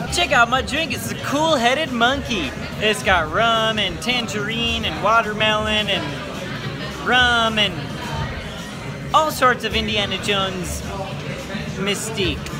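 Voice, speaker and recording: With clear music in the background, a man speaks very slowly with ordinary pitch variation and long, frequent pauses. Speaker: vlogger. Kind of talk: casual vlog chat. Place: bar. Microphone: phone near.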